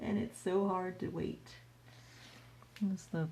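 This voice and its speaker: A somewhat breathy, dark and mellow voice at a fairly slow pace, with audible room echo. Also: woman. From US. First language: Chinese. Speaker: artist. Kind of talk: casual livestream Q&A while painting. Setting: livestream. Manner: casual, halting with repetitions.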